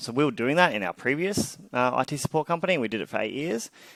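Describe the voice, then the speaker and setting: With an Australian accent, a man speaks with ordinary pitch variation on a very clean recording with a silent background, the sound dry and close with no echo. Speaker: tech startup founder and CEO. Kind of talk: interview.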